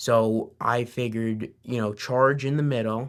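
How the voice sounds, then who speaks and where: A man with medium pitch and fairly even intonation speaks in an ordinary speaking voice on a very clean recording with a silent background. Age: 20s. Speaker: business owner. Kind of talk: interview answer.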